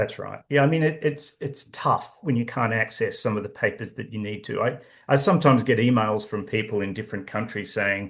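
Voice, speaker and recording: With an Australian accent, a man speaks at a medium pitch and a fairly quick pace, somewhat breathy. His pitch varies in an ordinary way against a quiet background. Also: hardly any pauses. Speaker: professor and author. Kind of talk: interview.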